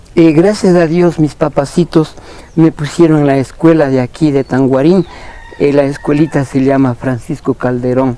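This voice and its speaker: At a moderate pace, a man with a fairly high voice speaks with very even loudness and fairly even intonation against noticeable background noise. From Ecuador, Imbabura highlands (San Antonio de Ibarra). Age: 60s. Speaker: ice cream vendor. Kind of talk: interview. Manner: hesitant, many fillers.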